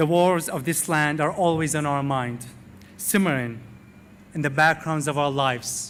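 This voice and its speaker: This man, speaking with an Arabic accent, has a fairly high voice, ordinary pitch variation and a moderate pace. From Iraq, Baghdad. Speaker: university graduate, valedictorian. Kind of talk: commencement speech. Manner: formal.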